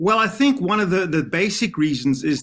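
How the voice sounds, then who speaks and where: A man speaks with a South African accent and lively intonation at a moderate pace. The background is quiet. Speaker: professor of special education. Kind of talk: TV interview.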